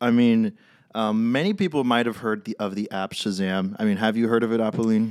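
Speaking with a Californian accent at a fairly quick pace, a man keeps a medium pitch and fairly even intonation on a very clean recording with a silent background. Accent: Californian American. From California (San Francisco). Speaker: startup cofounder, technologist. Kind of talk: casual chat. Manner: joking, hesitant with many fillers.

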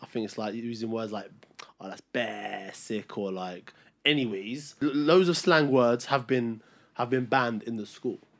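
A man speaks at a moderate pace with a Cockney accent. His pitch sits in the medium range. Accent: London English (Cockney). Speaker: podcast co-host. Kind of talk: heated debate.

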